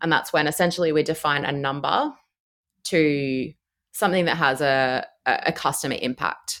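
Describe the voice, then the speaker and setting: A woman with an Australian accent speaks at a very deep, low pitch with ordinary pitch variation, on a very clean recording with a silent background. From Australia, Brisbane. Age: 30s. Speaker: cloud engineer. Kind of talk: casual interview.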